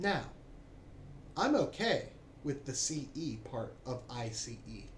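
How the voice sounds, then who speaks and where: A man with an American accent at a very slow pace, with audible room echo. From United States. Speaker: political commentator. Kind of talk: opinion monologue.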